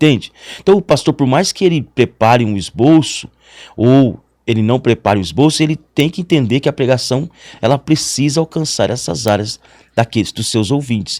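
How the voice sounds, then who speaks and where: Talking at a moderate pace, a man has an unremarkable speaking voice, a medium pitch and lively intonation. The sound is dry and close with no echo, on a very clean recording with a silent background. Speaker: pastor. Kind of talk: interview.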